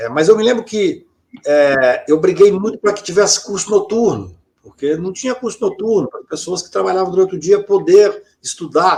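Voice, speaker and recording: At a moderate pace, a man speaks in a high pitch with ordinary pitch variation and big swings in loudness. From Brazil, Minas Gerais (Patos de Minas). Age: 60s. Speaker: lawyer. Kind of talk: interview conversation.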